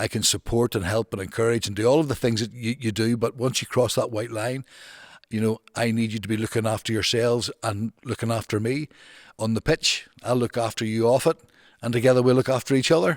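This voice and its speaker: Speaking in a Northern Irish accent, a man keeps a medium pitch, fairly even intonation and a fairly quick pace. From Northern Ireland, Newtownards. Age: 60s. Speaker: football manager and former social worker. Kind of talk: podcast interview. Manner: halting, with frequent repetitions and restarts.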